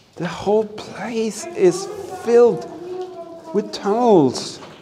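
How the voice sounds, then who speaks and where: At a very slow pace, the speech comes through over noticeable background noise. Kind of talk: excited exploration commentary. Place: tunnel cave. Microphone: phone near.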